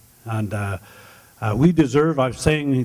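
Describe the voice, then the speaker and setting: A man speaks fairly slowly in a fairly high pitch. His pitch varies in an ordinary way. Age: 60s. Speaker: mayoral candidate. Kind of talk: campaign speech. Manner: halting.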